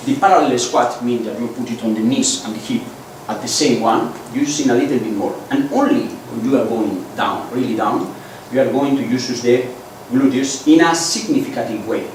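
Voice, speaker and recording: Over noticeable background noise and audible room echo, a man speaks at a moderate pace, his medium pitch showing ordinary variation. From Basque Country, Spain. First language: Basque or Spanish. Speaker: biomechanics expert and bike fitter. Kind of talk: lecture. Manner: halting.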